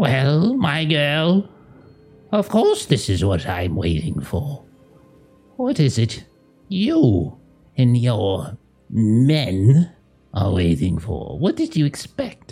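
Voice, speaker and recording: Faint music plays behind a put-on character voice at a low-to-middle pitch. It moves at a very slow pace with long, frequent pauses. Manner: disapproving, curt, haughty.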